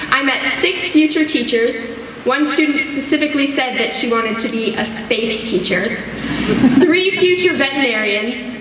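A woman talks at a high pitch. Noticeable background noise and audible room echo fill the recording. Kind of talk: graduation speech. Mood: warm, lightly humorous. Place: hall. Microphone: podium.

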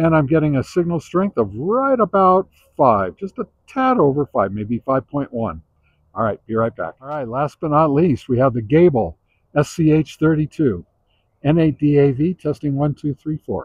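A man with a fairly high pitch, lively intonation and a slightly husky edge, at a moderate pace, in a dry, close sound with no echo

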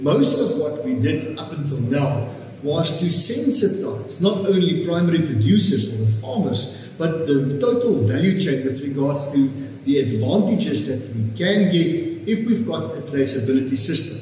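Against audible room echo, a man with a fairly high pitch moves at a moderate pace with few pauses and big pitch swings.

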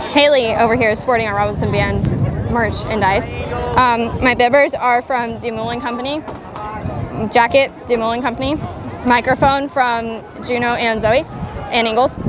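A woman at a moderate pace, dry and echo-free, with music in the background. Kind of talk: casual vlog chat. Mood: playful, joking. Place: stadium. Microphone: lapel.

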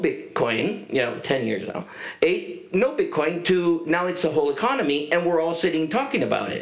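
Someone with a Spanish accent speaks at a moderate pace. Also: man. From Uruguay. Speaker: former telecom executive, panelist; panelist. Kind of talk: panel discussion. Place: stage. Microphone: handheld.

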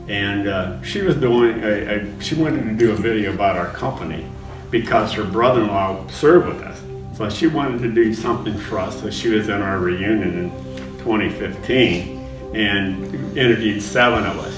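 With clear music playing behind him, a man speaks at a moderate pace in a fairly low pitch. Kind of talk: interview answer. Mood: amused, laughing storytelling. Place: studio.

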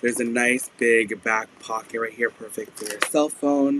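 The speaker talks at a fairly slow pace, keeping a fairly bright tone and fairly even intonation. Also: man, medium pitch for a man.

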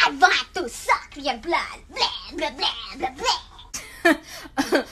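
In a put-on character voice of extremely high pitch, the speaker swings very widely in pitch at a very slow pace over clear background noise. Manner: spooky, theatrical.

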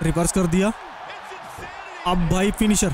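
A high-voiced man talks at a moderate speed while noticeable noise carries on in the background. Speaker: gaming commentator. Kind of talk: live game commentary. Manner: animated.

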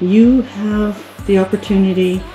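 A woman's voice with audible room echo and faint music in the background. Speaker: product reviewer. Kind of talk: casual product demo. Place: home room. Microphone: phone near.

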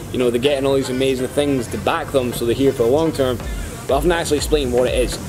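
Over clear background music, a man speaks very fast in a monotone, flat intonation. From Scotland. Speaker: crypto promoter vlogger. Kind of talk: casual talk to camera. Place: waterside. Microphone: phone near.

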